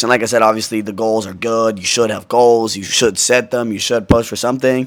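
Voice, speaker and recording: This is a man speaking. His pitch is medium. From US Pacific Northwest, Washington state. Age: 20s. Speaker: YouTuber. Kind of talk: casual vlog monologue. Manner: casual, many fillers.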